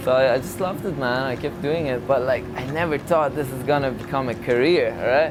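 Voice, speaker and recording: Talking at a fairly quick pace, a man is heard with audible room echo and noticeable background noise. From Malaysia (moved from Iran at seven). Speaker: Muay Thai fighter. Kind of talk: casual chat. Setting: restaurant.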